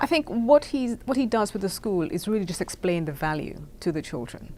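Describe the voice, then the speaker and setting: A woman's dark, mellow voice at medium pitch, with a fairly quick pace and very wide pitch swings. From Caribbean. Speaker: founder of a children's essay contest. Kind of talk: interview.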